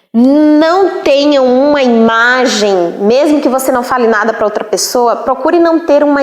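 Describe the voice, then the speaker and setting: In a room with audible echo, a woman talks at a very slow pace with a high pitch and lively intonation. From Northeast Brazil. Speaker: teacher. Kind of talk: lecture. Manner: casual.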